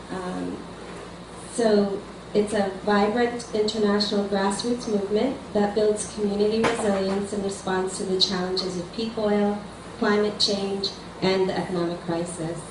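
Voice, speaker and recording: The voice keeps a flat monotone at a moderate pace, with audible room echo and noticeable background noise. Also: woman, medium pitch for a woman. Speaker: community organizer. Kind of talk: presentation.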